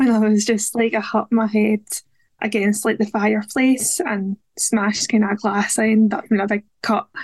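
At a moderate pace, a woman speaks at a medium pitch with a slightly mellow tone and little pitch movement, recorded dry and close with no echo.

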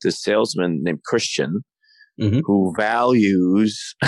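Recorded with a dry, close sound with no echo and a quiet background, a man with a Canadian accent speaks at a fairly low pitch with ordinary pitch variation. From Canada (Toronto). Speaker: actor and playwright. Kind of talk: interview.

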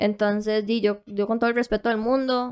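Speaking in a Costa Rican accent, a woman keeps a moderate pace and fairly high pitch with flat, monotone intonation. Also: dry, close sound with no echo. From Costa Rica, Puntarenas. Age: young. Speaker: online content seller. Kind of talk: casual interview.

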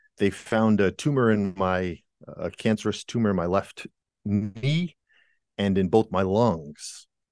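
A man with an American accent talks at a fairly low pitch with ordinary pitch variation over a quiet background. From New England, Rhode Island. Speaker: musician and author. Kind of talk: interview conversation. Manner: halting, many fillers and restarts.

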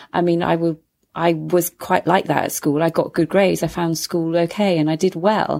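A woman with a British accent speaks at a moderate pace in a fairly low pitch, her intonation flat and monotone and her loudness very even, on a very clean recording with a silent background. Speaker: mindfulness coach. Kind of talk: casual chat.

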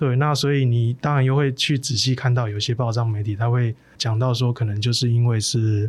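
Somewhat breathy, a man speaks at a fairly quick pace with fairly even intonation and hardly any pauses. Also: medium pitch for a man, very even loudness. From southern Taiwan. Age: 30s. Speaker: plant-based meat entrepreneur. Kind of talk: interview.

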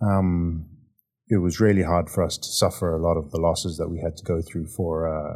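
At a moderate pace, the voice has a dark, mellow tone and fairly even intonation, in a very clean recording with a silent background. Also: man. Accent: Zimbabwean. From Zimbabwe. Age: 30s. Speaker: oilfield compliance manager. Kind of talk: interview.

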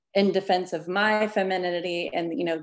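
A woman with an American accent, fairly low pitched, with fairly even intonation at a moderate pace. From Arkansas, US South. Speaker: former church member. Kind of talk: interview, personal testimony. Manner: halting, many repetitions.

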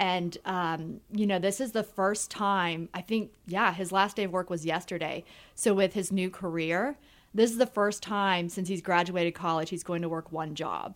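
On a very clean recording with a silent background, a woman with an American accent talks at a moderate pace and medium pitch with fairly even intonation. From US South, Georgia (Marietta, near Atlanta). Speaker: TV news anchor. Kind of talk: casual chat.

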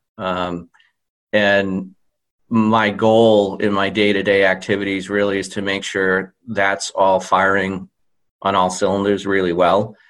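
A man speaks with an American accent at a fairly low pitch. His pace is fairly slow, his intonation monotone and flat, against a quiet background. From central Massachusetts. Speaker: customer care director. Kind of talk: interview. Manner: hesitant with fillers.

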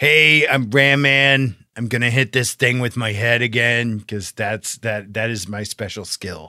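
In a put-on character voice, a man talks raspily at a medium pitch and a fairly slow pace with hardly any pauses. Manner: cheerful, boastful.

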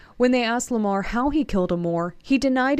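Here a woman speaks with a high pitch and lively intonation. Her pace is fairly quick. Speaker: news reporter. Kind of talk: news reading.

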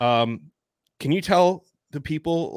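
In a very clean recording with a silent background and a dry, close sound with no echo, a man talks at a fairly slow pace in a normal speaking voice with ordinary pitch variation. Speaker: podcast co-host. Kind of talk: casual podcast interview.

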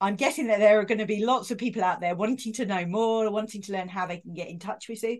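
With a warm, enthusiastic tone, the speech races at a very fast pace with hardly any pauses, ordinary pitch variation and big swings in loudness. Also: woman. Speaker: podcast host. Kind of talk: interview.

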